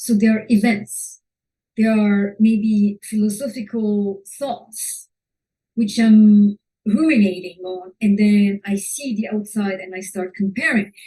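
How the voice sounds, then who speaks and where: A woman's very slow, somewhat breathy speech with a non-native accent, medium in pitch, dark and mellow in tone, fairly even in intonation, with big swings in loudness. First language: not English. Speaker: fashion photographer and teacher. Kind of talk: webinar talk. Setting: online webinar. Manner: halting.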